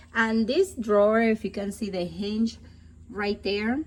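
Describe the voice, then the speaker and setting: A woman talks at a fairly slow pace. Her voice is somewhat breathy. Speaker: product reviewer. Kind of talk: product review tutorial. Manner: casual, chatty.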